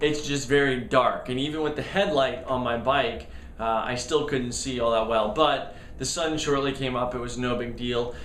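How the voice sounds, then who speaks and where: A man with a medium pitch speaks at a moderate pace with fairly even intonation. Noticeable background noise and audible room echo fill the recording. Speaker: amateur triathlete vlogger. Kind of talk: casual video diary. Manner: hesitant, many fillers.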